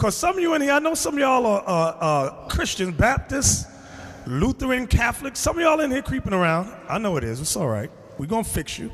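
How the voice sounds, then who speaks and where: A high-pitched man with an American accent talks fairly quickly, his voice making very wide pitch swings. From US. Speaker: religious teacher. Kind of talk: bible class. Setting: classroom with audience. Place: meeting room. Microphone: handheld.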